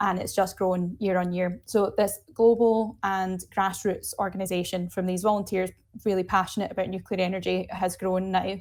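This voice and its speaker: A woman with a Glasgow accent speaks at a moderate pace with hardly any pauses on a very clean recording with a silent background. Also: medium pitch for a woman. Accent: Scottish (Glaswegian). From Scotland, Glasgow. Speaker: nuclear energy advocate. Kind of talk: interview. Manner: animated.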